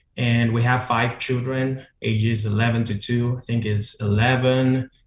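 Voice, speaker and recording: A man with a Nigerian accent speaks in a somewhat breathy voice. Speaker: pastor. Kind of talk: casual interview chat.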